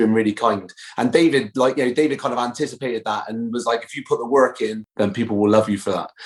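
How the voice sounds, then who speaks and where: Very fast speech from a man with a medium pitch, with a Bristol accent. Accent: Bristolian West Country. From Bristol, southwest England. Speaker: actor. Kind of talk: podcast interview. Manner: halting, many fillers.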